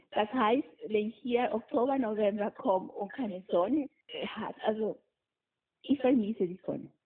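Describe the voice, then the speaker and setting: A fairly high-pitched woman with a Spanish accent, moderate pace, ordinary pitch variation, long, frequent pauses. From Peru, coast. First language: Spanish (speaking German). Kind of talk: interview.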